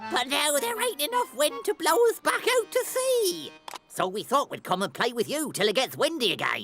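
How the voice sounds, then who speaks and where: Someone performs a cartoonish character voice over faint music in the background. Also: moderate pace. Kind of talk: comic pirate. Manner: hearty pirate talk.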